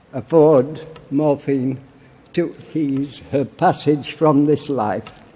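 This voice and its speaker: Over noticeable background noise, a man with a Yorkshire accent speaks at a very slow pace, his pitch fairly high and his intonation fairly even. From Barnsley, Yorkshire, England. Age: 80s+. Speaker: war veteran. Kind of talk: political conference speech.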